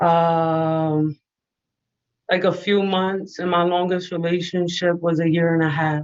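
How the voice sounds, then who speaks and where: In a New York accent, a woman speaks fairly slowly at a fairly low pitch, her intonation monotone and flat and her loudness very even. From New York City, the Bronx. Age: 20s. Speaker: caller, business student. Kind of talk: call-in conversation. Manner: hesitant, filler-heavy.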